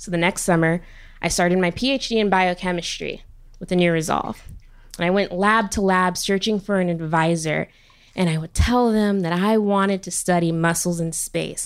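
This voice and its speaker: A woman at medium pitch and moderate pace, an ordinary speaking voice with fairly even intonation, on a very clean recording with a silent background. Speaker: biochemistry PhD student. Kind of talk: live storytelling. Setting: stage with audience.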